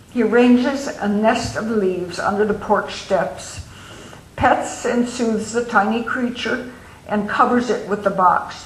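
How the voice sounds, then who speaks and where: A woman at a fairly slow pace, over noticeable background noise. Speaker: author. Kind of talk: novel reading.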